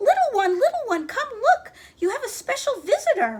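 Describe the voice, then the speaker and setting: Using a raised, projected, squeaky put-on character voice, a woman speaks at an extremely high pitch and a moderate pace. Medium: read story. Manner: soothing.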